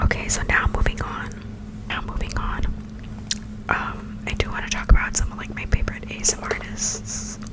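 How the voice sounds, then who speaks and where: Whispering at a moderate pace with long, frequent pauses, a woman speaks over noticeable background noise. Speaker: ASMR creator. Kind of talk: ASMR whisper ramble. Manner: whispered.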